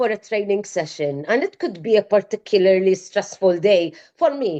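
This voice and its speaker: This woman has a plain, everyday voice at a medium pitch, speaking at a moderate pace in a dry, close sound with no echo. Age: 50s. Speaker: clinical research professional. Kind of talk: interview answer. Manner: casual, chatty.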